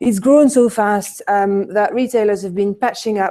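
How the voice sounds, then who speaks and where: With a French accent, a woman speaks at a moderate pace in a dark, mellow tone with fairly even intonation, on a very clean recording with a silent background. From France. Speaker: conference speaker, retail consultant. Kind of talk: conference presentation. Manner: many hesitations (um, uh).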